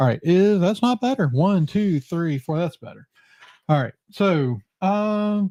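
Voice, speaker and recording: Loud and lively in intonation, a man with a high pitch and a dark, mellow tone speaks in a dry, close recording with no echo. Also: fairly slow pace. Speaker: podcast host. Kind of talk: casual chat.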